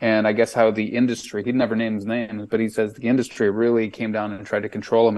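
With an American accent, the speaker rushes along at a very fast pace in a monotone, flat intonation. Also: man. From Chicago. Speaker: artist and entrepreneur. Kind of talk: casual chat. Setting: video call.

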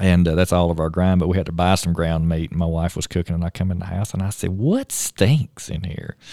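In a Tennessee accent, the speaker goes at a fairly quick pace with monotone, flat intonation. The tone is dark and mellow, and the sound is dry and close with no echo. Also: man, very deep, low pitch for a man. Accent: US Southern (Tennessee). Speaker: state park superintendent. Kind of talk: casual chat. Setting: studio.

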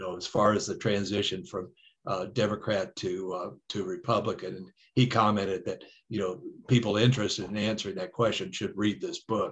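Over a quiet background, a man with an American accent talks at a fairly quick pace in a fairly low, somewhat breathy voice with ordinary pitch variation. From Detroit, Michigan. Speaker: author and historian. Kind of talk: interview. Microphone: connection dropped out.

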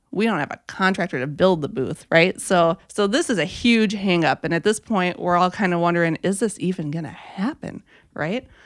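In an Upper Midwest accent, a woman speaks at a moderate pace with fairly low pitch and ordinary pitch variation. The recording is very clean, with a silent background. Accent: Upper Midwest American. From Minnesota. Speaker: campaign volunteer. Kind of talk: casual chat.

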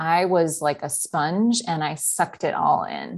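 A woman speaks in an ordinary speaking voice, fairly low in pitch, with ordinary pitch variation. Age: 30s. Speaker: podcast guest, seminary friend. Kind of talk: casual interview. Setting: video call.

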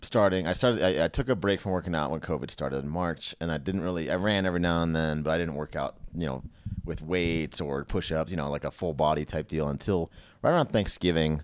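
A man with an American accent talks at a very fast pace in a very deep, low pitch with ordinary pitch variation, on a very clean recording with a silent background. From California. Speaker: medical student. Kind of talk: casual chat.

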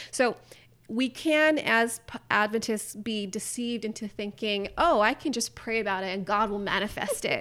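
Speaking with an American accent, a woman has an unremarkable speaking voice, fairly high in pitch, with ordinary pitch variation and a moderate pace. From California, with teen years in the Middle East. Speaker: graphic designer and nutrition writer. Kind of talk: casual interview chat.

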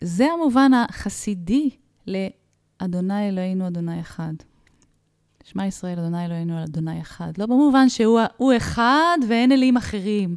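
Her voice is a plain, everyday voice, medium in pitch. The woman speaks at a fairly slow pace with lively intonation. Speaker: spiritual psychologist. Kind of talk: casual chat.

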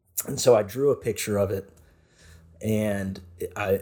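Over a silent background on a very clean recording, a man speaks in an American accent with fairly even intonation. His voice is fairly low, somewhat breathy and dark, mellow in tone. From Nashville, Tennessee, US South. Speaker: podcast host. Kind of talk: casual faith discussion.

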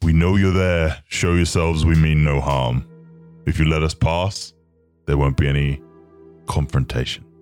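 A put-on character voice speaks at a moderate pace with long, frequent pauses. Faint music plays in the background. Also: man, very deep, low pitch for a man. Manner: confident, threatening, diplomatic.

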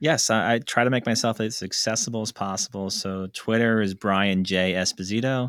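A man with a normal speaking voice talks at a moderate pace with hardly any pauses, at a fairly low pitch and with fairly even intonation. The recording is very clean with a silent background, and the sound is dry and close with no echo. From New Jersey / New York area. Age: 40s. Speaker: entrepreneur. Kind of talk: interview.

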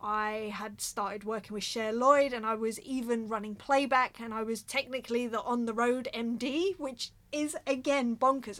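A woman's fairly high voice with ordinary pitch variation, at a fairly slow pace, in an English accent. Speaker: drummer and podcast host. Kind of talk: casual monologue. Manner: animated.

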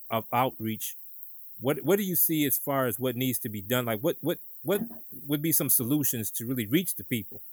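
A man speaks in a plain, everyday voice with an American accent and a medium pitch. His lively intonation moves at a moderate pace, with a dry, close sound and no echo. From Detroit, Michigan. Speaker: podcast host, business co-founder. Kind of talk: interview; scripted outro.

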